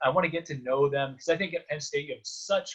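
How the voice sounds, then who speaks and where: This is an ordinary speaking voice with fairly even intonation. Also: man. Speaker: sports play-by-play announcer. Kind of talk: podcast interview answer. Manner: calm, conversational, thoughtful.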